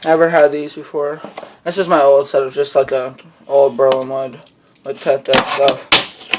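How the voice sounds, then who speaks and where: The speaker mumbles. The pace is moderate. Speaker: fingerboarding hobbyist youtuber. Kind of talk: unboxing video. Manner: mumbling.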